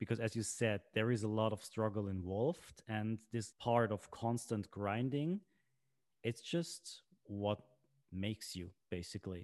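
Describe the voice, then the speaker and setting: Against a quiet background, a man with a fairly low pitch and ordinary pitch variation speaks at a fairly slow pace, the sound dry and close with no echo. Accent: Swiss German. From Switzerland. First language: Swiss German. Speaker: podcast host. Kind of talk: casual chat.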